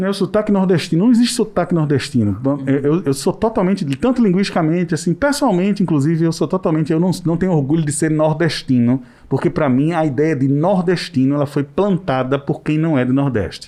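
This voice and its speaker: Speaking at a fairly quick pace with hardly any pauses, a man has a fairly high pitch and a dark, mellow tone. His intonation is lively and his loudness very even. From Maceió, Alagoas, Northeast Brazil. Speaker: podcast host. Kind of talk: casual panel discussion. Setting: studio.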